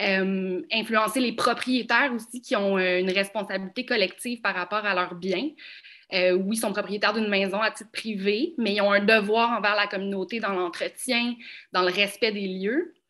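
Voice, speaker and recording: The voice moves at a moderate pace with ordinary pitch variation and a bright, sharp tone. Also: woman, medium pitch for a woman, quiet background. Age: young. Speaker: heritage conservation professional. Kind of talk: panel discussion.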